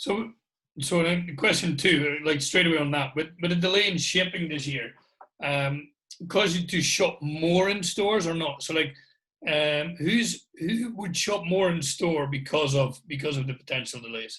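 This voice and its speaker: With a Scottish accent, the speaker keeps a moderate pace and ordinary pitch variation. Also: man, fairly high pitch for a man. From Scotland. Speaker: guest host. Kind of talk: casual chat.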